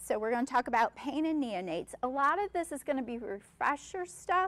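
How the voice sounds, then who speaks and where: Loud and full of very wide pitch swings, a woman's voice fills the clip. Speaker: neonatal nurse practitioner. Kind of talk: lecture. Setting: stage with audience.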